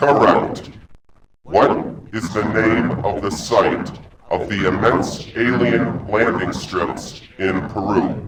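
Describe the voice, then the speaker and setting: Using a put-on character voice, a man speaks very slowly at a fairly low pitch, with slight echo. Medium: video game. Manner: terse, suspicious, commanding.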